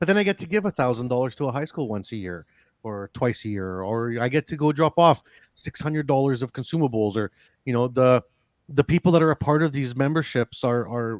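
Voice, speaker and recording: A man at medium pitch, fairly quick and with lively intonation, in a dry, close sound with no echo on a very clean recording with a silent background. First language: not English. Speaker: welding association representative and welder. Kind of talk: podcast interview. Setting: live-streamed podcast studio. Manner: animated, rambling.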